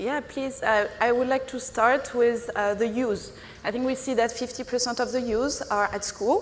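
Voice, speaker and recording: There is audible room echo and noticeable background noise as a woman speaks at a moderate pace. She has a high pitch and a strong French accent. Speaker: non-profit executive director. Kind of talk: conference panel discussion.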